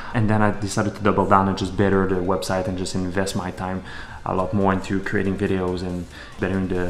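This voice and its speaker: A man with a Quebec accent talks at a very fast pace in a very deep, low pitch. Noticeable background noise and audible room echo are present. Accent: weird accent (Quebec French-Canadian). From Quebec, Canada (Montreal). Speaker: entrepreneur, fitness model, vlogger. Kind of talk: vlog monologue.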